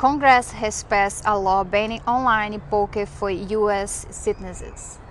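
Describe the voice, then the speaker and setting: Speaking fairly slowly, a woman talks with a Brazilian accent. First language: Portuguese. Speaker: street interviewer. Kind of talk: vox pop interview.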